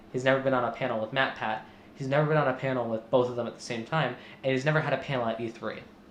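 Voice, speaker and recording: A man of medium pitch talks at a very fast pace in a monotone, flat intonation. Noticeable background noise sits behind him. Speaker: podcast host. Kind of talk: casual commentary discussion. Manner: hesitant with many fillers.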